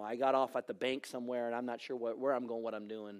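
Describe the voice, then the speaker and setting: Speaking with an American accent, a man talks at a very fast pace and a medium pitch. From Michigan, Detroit. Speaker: pastor. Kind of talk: sermon. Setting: church. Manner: loud; animated.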